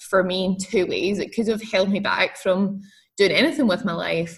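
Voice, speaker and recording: A woman with a Scottish accent speaks at a moderate pace, her medium pitch showing ordinary pitch variation. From Scotland. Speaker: entrepreneur. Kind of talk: interview.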